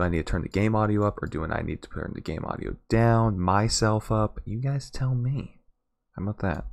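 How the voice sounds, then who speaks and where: A soft-spoken man talks at a fairly quick pace with a fairly low pitch and ordinary pitch variation. The recording is very clean, with a silent background. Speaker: gaming streamer. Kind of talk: casual chat.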